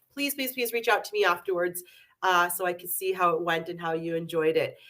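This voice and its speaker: Loud and fairly quick, this woman talks at a fairly low pitch with a bright, sharp tone and ordinary pitch variation. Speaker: beauty product educator. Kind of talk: live webinar. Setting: online webinar. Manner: halting, many fillers.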